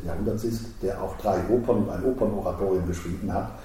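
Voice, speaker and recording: Audible room echo surrounds a man as he speaks. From Switzerland, Basel. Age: 60s. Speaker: opera house director. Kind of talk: interview. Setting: his office.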